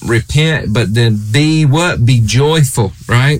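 A man with an American accent, noticeable background noise and audible room echo. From USA. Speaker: preacher. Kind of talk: sermon.

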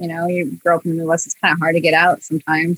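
A woman's fairly low, bright, sharp voice at a very fast pace, dry and close with no echo. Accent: Midwestern US. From Iowa, US Midwest. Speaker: animator and comedy video creator. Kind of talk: casual chat.

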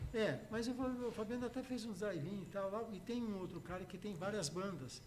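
A man speaks at a high pitch. There is audible echo in the room. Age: 70s. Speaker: music producer and musician. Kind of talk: casual chat.

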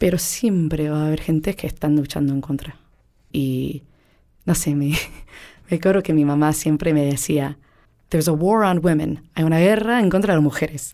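Speaking at a moderate pace with long, frequent pauses, a woman has a very deep, low pitch and a dark, mellow tone. Her pitch varies in an ordinary way, and the recording is very clean with a silent background. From United States. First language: English (speaking Spanish). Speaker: interviewee. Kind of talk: interview testimony.

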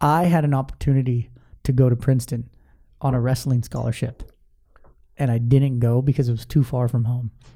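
Medium-pitched male speech, somewhat breathy and dark and mellow in tone, at a fairly quick pace with long, frequent pauses. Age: 30s. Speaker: podcast host. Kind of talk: casual interview; sales pitch. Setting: studio. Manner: animated.

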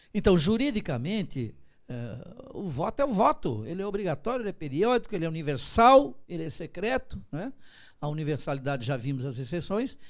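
A man's high-pitched voice, fairly quick, with very wide pitch swings, on a very clean recording with a silent background. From Santa Catarina, Brazil (Florianópolis from age five). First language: German (speaking Portuguese). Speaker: law professor and political analyst. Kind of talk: interview. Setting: TV studio, broadcast live.

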